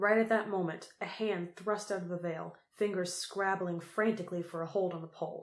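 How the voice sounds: A natural reading voice is heard. Its intonation stays fairly even.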